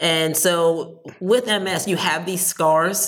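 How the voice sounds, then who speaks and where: A woman with an American accent and fairly even intonation, set against noticeable background noise. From New Jersey. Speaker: entrepreneur. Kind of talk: interview.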